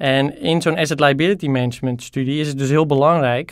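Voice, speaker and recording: His voice sits fairly high for a man. The intonation stays fairly even. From Netherlands, Haarlem area. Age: 20s. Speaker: PhD student, thesis prize nominee. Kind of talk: interview. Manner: hesitant, many fillers.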